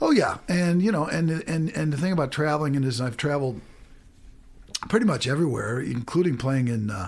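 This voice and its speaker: Fairly high in pitch, this man speaks with a Midwestern American accent. His pace is fairly quick and his intonation lively. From US Midwest, St. Louis, Missouri. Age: 60s. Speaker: musician. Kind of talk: radio interview.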